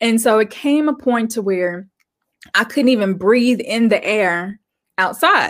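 A woman with an American accent talks in a normal speaking voice. Her pitch is fairly high and her pace fairly slow. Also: lively intonation. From Arkansas, US. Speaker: guest. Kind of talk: interview.

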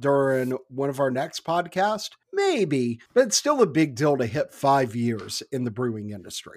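Delivered in an ordinary speaking voice, the speech has lively intonation and runs at a fairly slow pace with hardly any pauses. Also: man, fairly high pitch for a man. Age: 30s. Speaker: podcast host. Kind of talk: casual chat.

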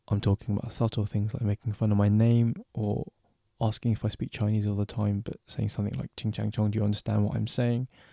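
With a London accent, a man speaks at a fairly quick pace in a dark, mellow tone, fairly low in pitch with fairly even intonation, on a very clean recording with a silent background and a dry, close sound with no echo. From London, England. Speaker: podcast host. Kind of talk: solo podcast monologue. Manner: casual.

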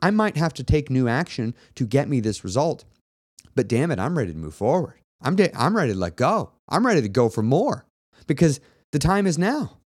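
On a very clean recording with a silent background, a man with vocal fry talks at a fairly quick pace, his pitch swinging very widely. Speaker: weight loss coach and podcast host. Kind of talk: motivational monologue.

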